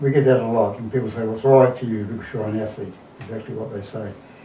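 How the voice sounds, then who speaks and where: Noticeable background noise and audible room echo accompany a man as he talks. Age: 60s. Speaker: marathon runner. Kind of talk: interview.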